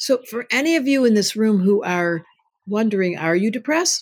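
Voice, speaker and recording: A woman speaks at a moderate pace with a fairly high, somewhat breathy voice. Her pitch swings very widely. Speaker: astrologer and psychotherapist. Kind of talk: casual interview.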